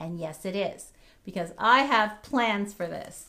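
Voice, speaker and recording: Her tone is animated, bright and sharp, with lively intonation. This woman talks at a fairly slow pace. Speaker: craft YouTuber doing a store haul. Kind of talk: casual product haul chat.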